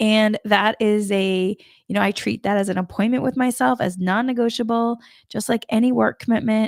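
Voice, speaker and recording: A woman's fairly high voice with a slight Boston accent, at a moderate pace with ordinary pitch variation, in a dry, close recording with no echo. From US Northeast, Massachusetts. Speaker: spiritual coach. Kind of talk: spiritual talk. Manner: casual, meandering.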